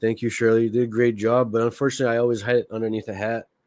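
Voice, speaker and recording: A man speaks very fast with a French Canadian accent. His pitch sits fairly low. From Quebec. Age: 40s. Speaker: podcast host. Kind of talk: casual monologue commentary.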